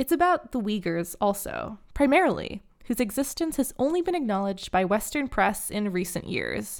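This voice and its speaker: A woman is speaking. Her pitch swings very widely. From China. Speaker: true crime podcast host. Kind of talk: scripted narration.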